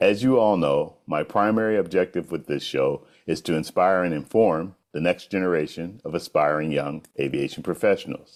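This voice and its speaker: A man's very deep, low voice at a moderate pace, with ordinary pitch variation and hardly any pauses. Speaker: aviation show host. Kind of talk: show intro to camera.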